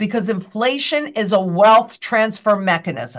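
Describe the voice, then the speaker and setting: Speaking with an American accent at a fairly slow pace, the voice shows ordinary pitch variation over a quiet background. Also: woman. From United States. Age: 60s. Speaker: financial guest expert. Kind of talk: interview chat. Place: office. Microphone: webcam.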